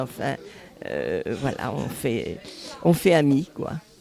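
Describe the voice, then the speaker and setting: A woman talks at a very slow pace in a very deep, low voice, with music playing in the background. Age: 80s+. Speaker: charity volunteer. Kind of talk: interview testimony.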